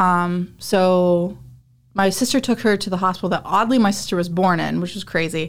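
A woman with a normal speaking voice, medium pitch, a moderate pace and fairly even intonation, in a very clean recording with a silent background. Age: 30s. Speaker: amateur fighter. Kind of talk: casual chat. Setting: studio.

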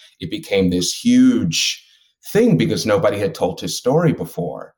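Lively intonation marks a normal speaking voice delivered at a moderate pace. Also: man. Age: 40s. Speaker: actor and writer. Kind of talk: casual chat.

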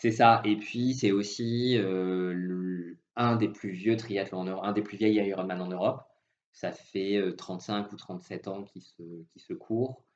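A man talks at a very slow pace and a fairly low pitch. His intonation is fairly even, though his loudness swings widely. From southwest France. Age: 30s. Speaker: industrial risk engineer and amateur triathlete. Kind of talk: interview. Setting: phone call.

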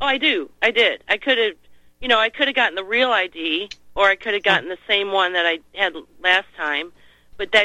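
With an American accent, a woman uses a normal speaking voice at a fairly high pitch with ordinary pitch variation. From Missouri, US Midwest. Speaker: caller. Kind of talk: casual phone chat. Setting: phone call.

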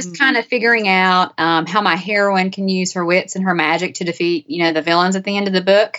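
Against a quiet background, a woman uses a normal speaking voice at medium pitch and a fairly quick pace. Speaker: author. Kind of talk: interview.

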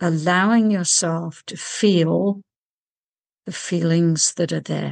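Speaking very slowly, a woman with a fairly low pitch keeps her intonation fairly even. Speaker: meditation teacher and author. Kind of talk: guided meditation. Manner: calm, gentle, soothing guiding pace.

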